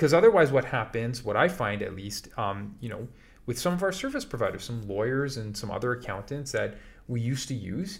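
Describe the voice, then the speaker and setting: Somewhat breathy, a man with a medium pitch talks at a fairly quick pace with lively intonation. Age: 40s. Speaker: podcast co-host, business owner. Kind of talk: casual chat.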